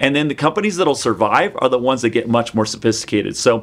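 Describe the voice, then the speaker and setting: A man with an American accent and an ordinary speaking voice, medium-pitched with lively intonation at a fairly quick pace. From US Pacific Northwest, Seattle area. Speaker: software company CEO. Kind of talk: interview. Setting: video call.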